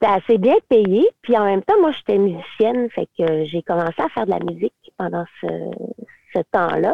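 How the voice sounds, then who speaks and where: In a Quebec accent, a woman talks at a moderate pace. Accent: Québécois French. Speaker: teacher and singer-songwriter. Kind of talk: casual interview.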